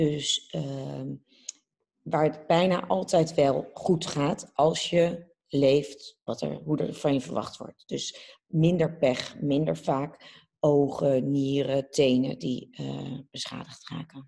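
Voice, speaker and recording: A woman speaks at a very slow pace in a very deep, low pitch with vocal fry. Her tone is dark and mellow, with ordinary pitch variation. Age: 30s. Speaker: TV presenter. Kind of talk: casual interview.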